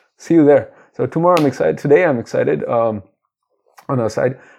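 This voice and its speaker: The voice moves at a fairly quick pace with a dark, mellow tone. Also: man. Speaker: podcast host. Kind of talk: solo book discussion podcast. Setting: alone in a room, away from home. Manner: louder and fuller than usual, no longer hushed; halting, many fillers and repetitions.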